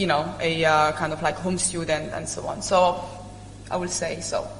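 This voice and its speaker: A woman with an Italian accent is heard over noticeable background noise and audible room echo. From Italy. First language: not English. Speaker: alumni panelist. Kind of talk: panel discussion. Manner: hesitant, many fillers.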